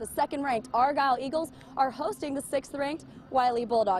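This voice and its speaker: High-pitched woman's voice at a fairly quick pace, with noticeable background noise. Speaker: sports reporter. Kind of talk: sports news report. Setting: outdoors.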